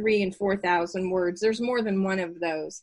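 A woman with an unremarkable speaking voice talks at a moderate pace, her medium pitch held in a fairly even intonation. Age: 60s. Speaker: mother and developmental editor, aspiring author. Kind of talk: casual interview.

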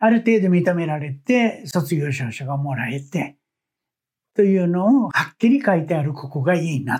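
A man talks in a high pitch with very wide pitch swings. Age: 70s. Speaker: petal artist. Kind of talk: interview.

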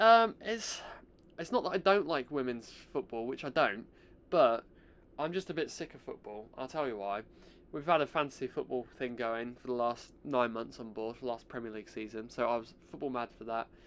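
Speaking at a moderate pace with an English accent, a medium-pitched man shows ordinary pitch variation and big swings in loudness. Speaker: podcast host. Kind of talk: casual solo chat.

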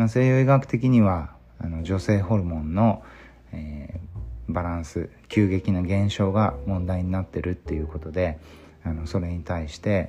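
A man speaks at a moderate pace in a very deep, low voice with ordinary pitch variation. His tone is dark, mellow and somewhat breathy. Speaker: physician. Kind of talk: solo podcast monologue. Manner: halting, many fillers.

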